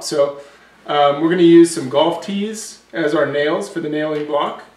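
There is audible room echo as a man speaks at a fairly slow pace with ordinary pitch variation. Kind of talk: tutorial. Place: workshop.

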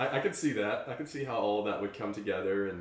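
A man with a fairly low pitch talks at a fairly quick pace, his pitch varying in an ordinary way. Audible room echo is present. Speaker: podcast host. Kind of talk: casual chat. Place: home room.

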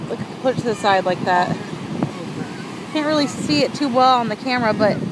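Fairly quick speech, a dry sound with no echo, and loud background noise. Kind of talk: casual vlog chat. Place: beach. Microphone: phone near.

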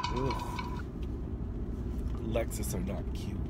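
Noticeable background noise sits behind a man whose sound is dry with no echo. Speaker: vlogger. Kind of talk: casual vlog chat. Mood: annoyed, sassy, joking. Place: car. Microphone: phone near.

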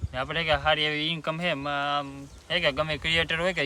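Fairly high pitch from a man with fairly even intonation, against noticeable background noise. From Gujarat, Bhavnagar district (Mahuva). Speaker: vlogger and farmer. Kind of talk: casual Q&A vlog.

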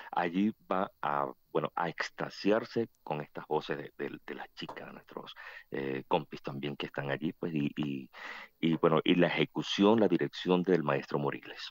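Speaking slowly-ish at a fairly slow pace, a man with a very deep, low pitch shows vocal fry, big swings in loudness and ordinary pitch variation, in a dry sound with no echo. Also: quiet background. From Venezuela, Barquisimeto; Venezuela. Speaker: choir association president. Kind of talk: radio interview. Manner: talkative; halting. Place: studio.

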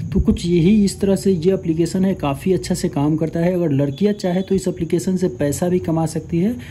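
A man with a high-pitched, dark and mellow voice speaks at a moderate pace with very even loudness, fairly even intonation and hardly any pauses. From India. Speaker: tech YouTuber. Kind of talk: casual chat on a video call; app tutorial. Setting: video call.

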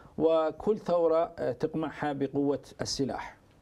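A man speaks with a dark, mellow tone. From Iran. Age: 40s. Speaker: political activist and stage actor; stage actor. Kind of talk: interview. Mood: serious, measured. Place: studio. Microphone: lapel.

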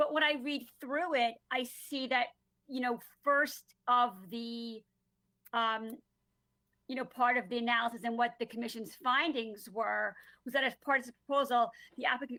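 With a Long Island accent, a woman speaks in a high, bright and sharp voice at a moderate pace, her intonation fairly even and her speech broken by long, frequent pauses. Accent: New York (Long Island). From Long Island, New York. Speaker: planning and zoning commissioner. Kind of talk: public hearing questioning. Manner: hesitant, many fillers.

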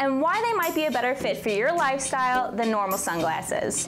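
With clear music in the background, a woman with a New Jersey accent speaks very fast at a high pitch. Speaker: brand video host. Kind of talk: explainer to camera. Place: studio. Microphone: lapel.

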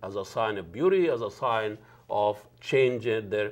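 A man with lively intonation. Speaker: talk show host. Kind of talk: show introduction monologue. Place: studio. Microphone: lapel.

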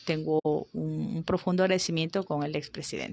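Her intonation holds fairly even. The woman's pitch is very deep and low. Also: dry sound with no echo. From Ecuador, Arenillas, El Oro; El Oro, Ecuador. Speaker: politician. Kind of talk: interview. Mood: warm, reflective. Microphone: handheld.

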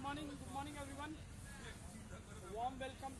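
A man is speaking. Loud background noise surrounds him. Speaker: fitness instructor. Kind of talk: workout instruction. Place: open country.

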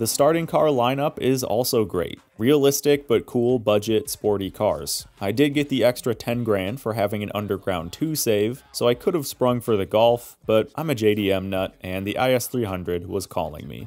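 This man's intonation is lively, at a medium pitch and a moderate pace. Music plays in the background, and he hardly pauses. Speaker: gaming YouTuber. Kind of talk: scripted review narration.

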